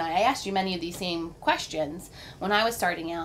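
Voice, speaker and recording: A woman with an American accent has an unremarkable speaking voice at a fairly low pitch. She moves at a fairly quick pace with fairly even intonation. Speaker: mobile DJ. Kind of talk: interview questions.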